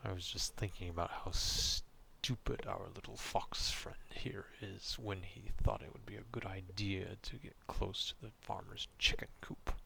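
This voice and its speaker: A man whispers in a gruff, put-on character voice. He keeps a moderate pace with hardly any pauses. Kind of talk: ASMR roleplay. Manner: gruff, grudging.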